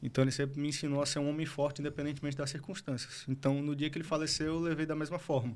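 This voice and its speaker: Very fast, with hardly any pauses, the delivery stays monotone and flat in intonation. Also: man, fairly high pitch for a man. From Alagoas and Brasília, Brazil. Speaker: law graduate, podcast guest. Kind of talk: podcast interview, personal story.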